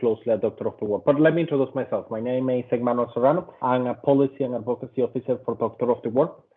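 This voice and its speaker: With a Venezuelan accent, a man talks at a fairly quick pace. His pitch is medium and his intonation fairly even. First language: Spanish. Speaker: policy and advocacy officer. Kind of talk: presentation.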